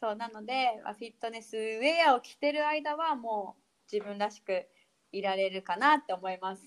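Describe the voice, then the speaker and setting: An ordinary speaking voice moves at a moderate pace with lively intonation. Its loudness swings widely. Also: woman, fairly high pitch for a woman. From Hokkaido, Japan. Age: 30s. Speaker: fitness instructor. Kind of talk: casual interview.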